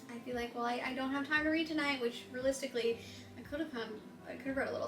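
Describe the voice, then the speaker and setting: Music plays behind a woman whose tone is animated, with ordinary pitch variation. The room echo is audible. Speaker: booktuber. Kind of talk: casual chat. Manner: rambling, hesitant with many fillers.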